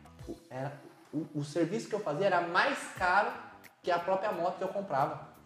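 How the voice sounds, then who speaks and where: Someone speaks at a moderate pace with music playing in the background. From Brazil, Hortolândia (São Paulo state). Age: 20s. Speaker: entrepreneur, motorcycle dealer. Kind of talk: casual interview.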